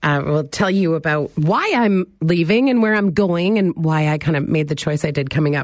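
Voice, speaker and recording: A woman has an ordinary speaking voice, fairly low in pitch, with ordinary pitch variation. She speaks at a moderate pace against a quiet background. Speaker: radio talk show host. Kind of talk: casual call-in radio talk. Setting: radio studio.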